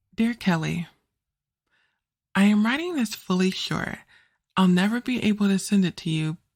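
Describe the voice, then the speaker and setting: A woman's medium-pitched voice comes across somewhat breathy. The recording is very clean, with a silent background. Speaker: author and podcast narrator. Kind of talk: first-person letter read aloud.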